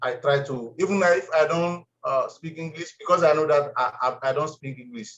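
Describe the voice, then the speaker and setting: A man's fairly high voice at a moderate pace, with ordinary pitch variation and big swings in loudness. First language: French. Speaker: former student sharing experience. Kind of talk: testimony. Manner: halting.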